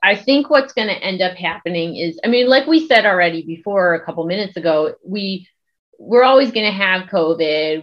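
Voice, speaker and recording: Lively intonation marks a plain, everyday voice with an American accent. The pace is moderate. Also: woman. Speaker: epidemiologist and social media creator. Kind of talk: casual interview chat. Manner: conversational, laughs often.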